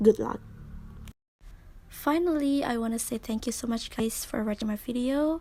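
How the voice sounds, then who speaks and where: With an Indonesian accent, a woman speaks at a high pitch in a dark, mellow tone, at a moderate pace with ordinary pitch variation and long, frequent pauses. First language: Indonesian or Balinese. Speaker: university student. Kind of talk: tutorial.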